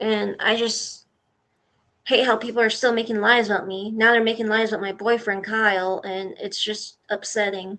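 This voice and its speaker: A woman's calm tone at a moderate pace, with monotone, flat intonation. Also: fairly high pitch for a woman. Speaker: voice actor and streamer. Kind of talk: casual chat. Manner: calm, rarely yells.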